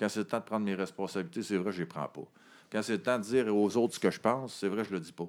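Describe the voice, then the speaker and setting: Talking at a very fast pace in a Quebec accent, a man has a fairly low pitch and ordinary pitch variation. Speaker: director of a homeless shelter organization. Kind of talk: casual interview. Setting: office.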